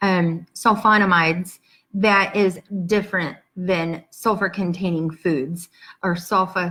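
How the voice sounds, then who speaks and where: Very slowly, a woman speaks with an American accent and a bright, sharp tone. Her pitch is medium, her intonation fairly even. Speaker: patient advocate, support group founder. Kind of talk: live-streamed Q&A. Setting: livestream video. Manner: hesitant, many fillers.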